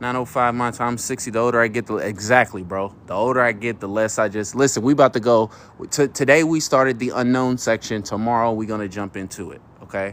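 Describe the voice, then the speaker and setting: With an ordinary speaking voice, a man talks fairly quickly at a medium pitch and with ordinary pitch variation. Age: 30s. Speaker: live streamer. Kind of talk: livestream talk to audience. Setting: outdoors at night, near his car. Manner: casual, with many fillers and restarts.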